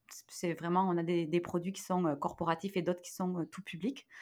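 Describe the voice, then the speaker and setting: An ordinary speaking voice at a moderate pace in a very clean recording with a silent background. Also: woman. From southwest France, near Toulouse. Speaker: digital wellbeing expert and entrepreneur. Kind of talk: interview.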